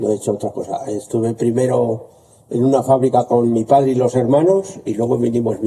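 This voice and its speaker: Here is a man with a normal speaking voice and medium pitch. His pace is fairly quick, and his pitch varies in an ordinary way. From La Rioja, Spain (Navarrete). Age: 60s. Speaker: potter. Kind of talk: interview.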